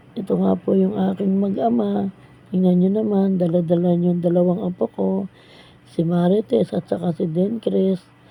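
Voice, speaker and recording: At a fairly low pitch, a woman talks at a moderate pace with lively intonation and very even loudness. Her tone is dark and mellow, somewhat breathy. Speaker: vlogger. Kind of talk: vlog voice-over narration. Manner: polite, casual.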